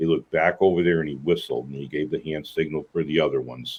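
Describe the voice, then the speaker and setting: Vocal fry in a man's very deep, low voice, moving at a fairly quick pace. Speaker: eyewitness guest. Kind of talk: interview.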